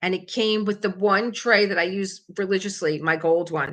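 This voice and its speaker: A woman's medium-pitched voice with a South Philly accent, at a fairly slow pace and with fairly even intonation. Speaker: crafting livestream host. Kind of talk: casual livestream chat. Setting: home kitchen.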